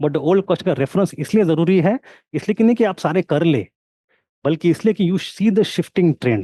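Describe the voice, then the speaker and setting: A man speaks with a high pitch and a dark, mellow tone, in a non-native accent. The sound is dry and close, with no echo. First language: not Hindi (speaking Hindi). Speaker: history teacher. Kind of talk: online lecture with live Q&A. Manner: code-switching Hindi and English.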